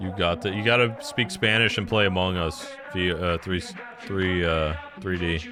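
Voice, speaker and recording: A man's very deep, low mumbling at a moderate pace, fairly even in intonation, with audible room echo and noticeable background noise. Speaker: streamer. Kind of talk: casual chat. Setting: live stream. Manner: casual, slangy.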